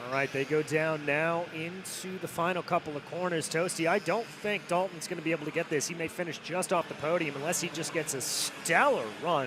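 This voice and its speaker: Noticeable background noise sits behind a man with an American accent. His pitch is high and his pace moderate. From Indiana, US Midwest. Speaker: race commentator. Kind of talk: live commentary. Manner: animated.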